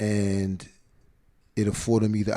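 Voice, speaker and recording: The voice has a dark, mellow tone and a New York accent. The recording is very clean, with a silent background. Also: man. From split between New York City and Atlanta area. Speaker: hip hop event host. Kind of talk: interview. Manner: high energy.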